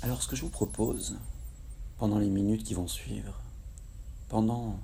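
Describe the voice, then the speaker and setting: A man speaks at a fairly slow pace in a dark, mellow, calm and soothing tone, with vocal fry. His pitch swings very widely. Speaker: hypnotherapist guiding a relaxation session. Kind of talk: guided hypnosis relaxation. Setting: recorded outdoors in tropical nature in Kerala, India, with nature sounds. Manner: slow, calm, soothing.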